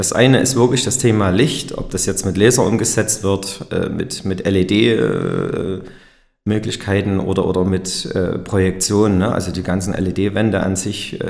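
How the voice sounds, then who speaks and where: Audible room echo surrounds a man speaking at a fairly low pitch and a fairly slow pace with fairly even intonation. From Erzgebirge, Saxony. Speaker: company director. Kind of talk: interview. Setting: company meeting room.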